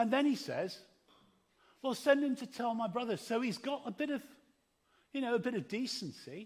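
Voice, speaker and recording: A man speaks at a moderate pace in an extremely high pitch with ordinary variation, leaving long, frequent pauses. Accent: English. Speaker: preacher. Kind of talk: sermon. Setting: church service.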